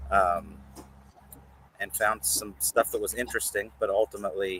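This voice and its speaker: A man with a West Virginia accent talks at a moderate pace. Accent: West Virginia accent, unaware of it. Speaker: reptile breeder. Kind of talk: podcast interview. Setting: outdoors.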